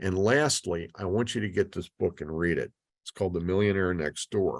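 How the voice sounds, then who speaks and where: A man's very deep, low voice at a moderate pace with ordinary pitch variation, dry and close with no echo, over a quiet background. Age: 60s. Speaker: financial speaker. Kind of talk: webinar lecture with Q&A. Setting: video call. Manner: casual, with fillers.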